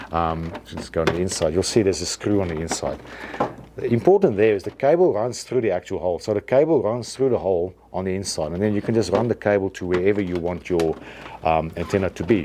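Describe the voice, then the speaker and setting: Over noticeable background noise, a man with a fairly low pitch and ordinary pitch variation talks at a very fast pace. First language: not English. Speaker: antenna equipment seller demonstrating products. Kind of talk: product tutorial. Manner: hesitant, many fillers and restarts.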